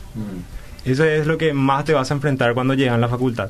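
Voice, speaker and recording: A man speaks at a medium pitch with fairly even intonation. Room echo is audible. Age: 20s. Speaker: university student. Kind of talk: radio interview.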